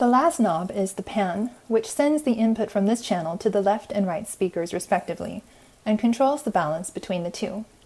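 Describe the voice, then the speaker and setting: Lively intonation marks this somewhat breathy voice at a moderate pace. The recording is very clean, with a silent background. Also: woman, medium pitch for a woman. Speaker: music student and singer. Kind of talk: tutorial. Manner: soft-spoken.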